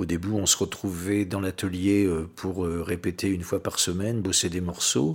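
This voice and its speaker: A man's very deep, low voice comes through in a monotone, flat delivery on a very clean recording with a silent background. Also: moderate pace. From western France, Oléron island. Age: 60s. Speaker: record collector and musician. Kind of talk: casual interview. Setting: recorded in his home. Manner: hesitant, many fillers.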